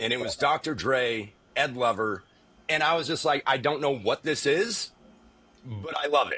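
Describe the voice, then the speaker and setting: A man speaks in an animated, bright, sharp tone at a fairly high pitch. Vocal fry runs through his voice. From South Korea, moved to US around age eight. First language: Korean. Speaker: former music TV presenter. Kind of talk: casual chat.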